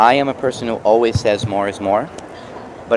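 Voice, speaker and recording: A man speaks at a moderate pace in a medium pitch, with noticeable background noise. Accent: American. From New York. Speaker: mixed media artist. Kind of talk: product demo. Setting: trade show booth. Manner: casual, halting with fillers.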